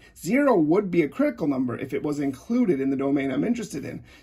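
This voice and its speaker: A somewhat breathy man at a very fast pace with lively intonation. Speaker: math teacher. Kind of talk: tutorial.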